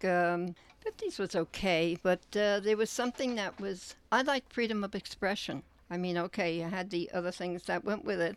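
A woman's medium-pitched voice at a moderate pace, an ordinary speaking voice with ordinary pitch variation, on a very clean recording with a silent background. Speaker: museum visitor. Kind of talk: casual chat. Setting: in a travel trailer.

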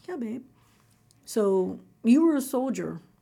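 Talking at a moderate pace with lively intonation, a woman with an American accent has a fairly high pitch and a dark, mellow, somewhat breathy tone, captured in a very clean recording with a silent background. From Kentucky (Falmouth, rural). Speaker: retired army officer. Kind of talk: interview.

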